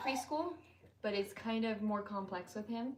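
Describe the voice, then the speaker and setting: Quietly, a woman of medium pitch speaks over noticeable background noise. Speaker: parent on family channel. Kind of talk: casual live-stream chat. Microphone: no mic on, too quiet.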